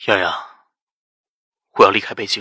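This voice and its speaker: A man's raspy, put-on character voice at a very fast pace. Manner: solemn.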